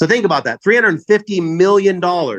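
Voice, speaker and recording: Loud and high-pitched, a man speaks fairly quickly in a dry, close sound with no echo. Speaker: network marketing leader. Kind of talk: sales pitch. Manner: fast.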